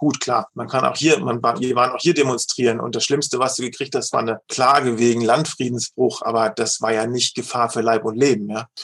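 It is a plain, everyday voice, moving at a fairly quick pace. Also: man. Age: 50s. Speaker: leadership coach and managing director. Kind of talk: interview.

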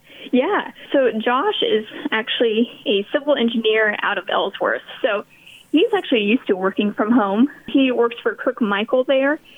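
A woman with an American accent talks at a moderate pace in a high pitch with lively intonation, over noticeable background noise. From Kansas. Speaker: missionary volunteer. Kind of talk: interview.

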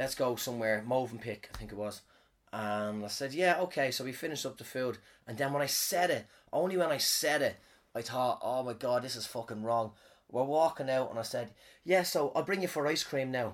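The man has an ordinary speaking voice at medium pitch, with ordinary pitch variation and a fairly quick pace. The recording is very clean, with a silent background. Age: 30s. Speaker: podcaster and comedian. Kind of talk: casual storytelling monologue. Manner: rambling, disfluent, profane.

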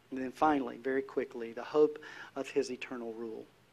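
A man with a Southern US accent, a fairly high pitch, and monotone, flat intonation over a quiet background. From North Carolina. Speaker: pastor. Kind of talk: sermon. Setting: church.

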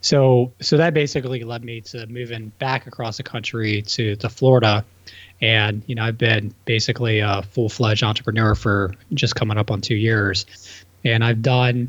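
Using a plain, everyday voice, a man of medium pitch speaks at a moderate pace with fairly even intonation. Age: 30s. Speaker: real estate entrepreneur. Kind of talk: casual chat.

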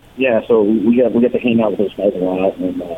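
There is noticeable background noise as a man talks at a moderate pace. He has a fairly low pitch and a Californian accent. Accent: Californian American English. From Los Angeles. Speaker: rock musician. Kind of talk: interview.

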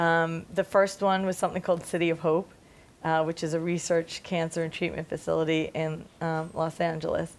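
At a moderate pace, a woman speaks with a fairly low pitch, monotone, flat intonation and a slight New York accent. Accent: New York accent, slight now. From Staten Island, New York. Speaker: music industry executive. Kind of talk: interview answers, talk to a student audience. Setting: campus seminar with audience.

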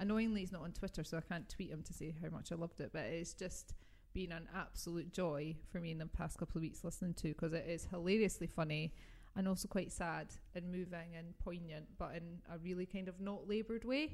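A woman's animated voice in a British accent, fairly low in pitch, at a very fast pace. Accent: regional British. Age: 40s. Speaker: podcast host. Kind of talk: casual chat podcast. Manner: giggly, animated.

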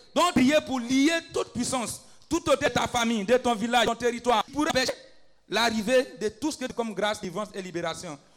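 Over background music, a man talks at a fairly quick pace with an extremely high pitch. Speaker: preacher and intercessor. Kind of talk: fervent intercessory prayer and preaching. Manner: exhorting, rising intensity.

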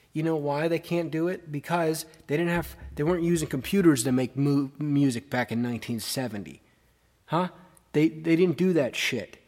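In a normal speaking voice, a man speaks at a moderate pace with a fairly high pitch and ordinary pitch variation. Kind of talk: radio DJ patter between songs, opinionated rant.

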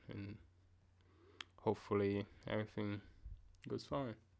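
A man with a fairly low pitch speaks at a fairly slow pace. The recording is very clean, with a silent background. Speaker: solo podcast host. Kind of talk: casual solo commentary. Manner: halting, many repetitions.

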